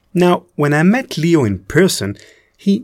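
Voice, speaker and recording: The speaker has an Israeli accent. The pitch swings very widely. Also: man. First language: Hebrew. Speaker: podcast host and producer. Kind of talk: scripted narration; interview.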